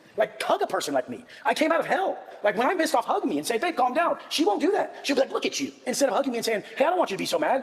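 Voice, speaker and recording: Very fast and with hardly any pauses, the speech carries very wide pitch swings over noticeable background noise. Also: man, extremely high pitch for a man. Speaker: podcast host. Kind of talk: heated debate. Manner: loud.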